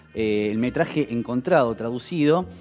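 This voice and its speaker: Music plays behind a man speaking at a fairly slow pace. His intonation is lively. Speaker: TV show host. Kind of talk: TV program introduction. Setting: studio.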